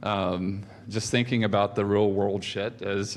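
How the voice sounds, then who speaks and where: A man speaks at a moderate pace with a fairly low pitch. There is audible echo in the room. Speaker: conference speaker. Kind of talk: conference talk. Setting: stage with audience. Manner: halting, many fillers.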